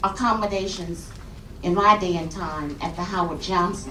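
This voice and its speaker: With an American accent, a woman speaks at a fairly slow pace and ordinary pitch variation, amid noticeable background noise and audible room echo. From US South, Montgomery, Alabama. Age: 60s. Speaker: activist. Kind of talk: audience comment at public forum. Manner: halting, repetitive starts.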